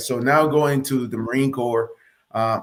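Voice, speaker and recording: A man speaks with a Spanish accent. His pitch is medium. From Nicaragua, then Hialeah, Florida from 1987. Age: 40s. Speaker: Marine Corps officer. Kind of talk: interview testimony.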